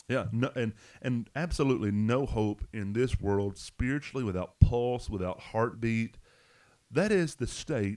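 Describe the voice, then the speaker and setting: A man with a Southern US accent, a dark, mellow tone and a fairly slow pace. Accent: Southern US, noticeable twang. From Arkansas. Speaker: pastor. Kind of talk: Bible study discussion, podcast.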